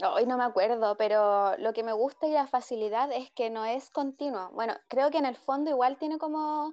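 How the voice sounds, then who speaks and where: A woman speaks in a high voice at a moderate pace. Her pitch varies in an ordinary way. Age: 20s. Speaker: podcast co-host. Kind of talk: casual chat. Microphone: choppy connection.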